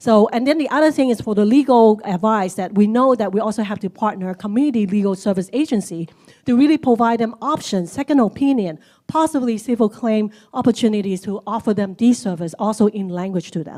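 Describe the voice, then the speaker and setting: Speaking at a very fast pace, a woman with a fairly high pitch and a dark, mellow tone uses ordinary pitch variation. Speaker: community service leader. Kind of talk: panel discussion.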